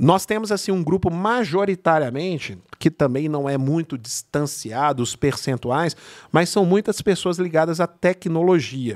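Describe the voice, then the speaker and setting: A man has a plain, everyday voice, fairly high in pitch with lively intonation. He talks at a fairly slow pace, and the sound is dry and close with no echo. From Brazil, São Bernardo do Campo (São Paulo area). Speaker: networking entrepreneur. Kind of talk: casual interview over wine. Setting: studio.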